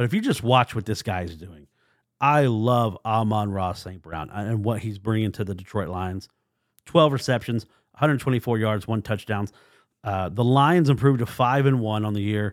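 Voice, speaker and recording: On a very clean recording with a silent background, a man with an ordinary speaking voice talks at a fairly low pitch and moderate pace, with ordinary pitch variation and big swings in loudness. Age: 40s. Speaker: sports podcast host. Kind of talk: casual solo podcast commentary.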